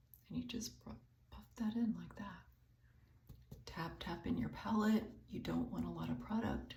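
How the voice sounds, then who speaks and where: Audible room echo fills the space as a woman speaks at a moderate pace. Her loudness swings widely, and she leaves long, frequent pauses. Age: 60s. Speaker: beauty vlogger, retired teacher. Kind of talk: makeup tutorial. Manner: casual, hesitant with many 'um' fillers.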